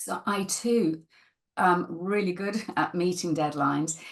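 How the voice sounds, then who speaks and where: In a northern English accent, a woman speaks at a very slow pace. Her pitch sits in the medium range. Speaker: podcast host, stress management coach. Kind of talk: casual interview conversation.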